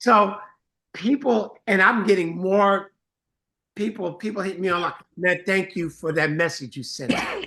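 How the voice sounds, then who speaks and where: Speaking at a fairly slow pace with long, frequent pauses, a man raises and projects his high, bright, sharp voice with ordinary pitch variation. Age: 60s. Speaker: music producer and songwriter. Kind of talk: casual chat.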